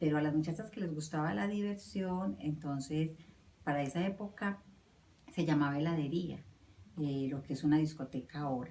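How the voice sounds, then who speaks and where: With a very deep, low voice and lively intonation, a woman talks at a moderate pace. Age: 50s. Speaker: interviewee recalling her youth. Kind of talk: personal recollection interview. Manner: hesitant, with many fillers.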